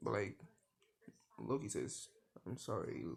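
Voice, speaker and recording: A man's dark, mellow voice with vocal fry, very wide pitch swings and a moderate pace. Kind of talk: improvised storytelling. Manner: halting.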